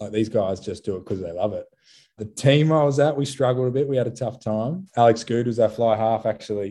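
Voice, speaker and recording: A man with an Australian accent speaks at a medium pitch in a dark, mellow tone, with ordinary pitch variation and a quiet background. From Australia, Sydney. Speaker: professional rugby player. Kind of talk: interview. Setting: remote call.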